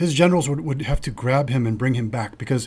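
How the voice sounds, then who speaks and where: Some breathiness runs through the voice. The pitch moves an ordinary amount. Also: man. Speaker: financial advisor and podcast host. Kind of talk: casual chat. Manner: mumbles and trips over words when not slowing down.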